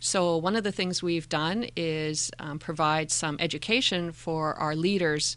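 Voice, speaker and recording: A woman's very deep, low voice in a Canadian accent, with fairly even intonation against a quiet background. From Calgary, Canada (adolescence in Indonesia). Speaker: school district mental health manager. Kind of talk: interview.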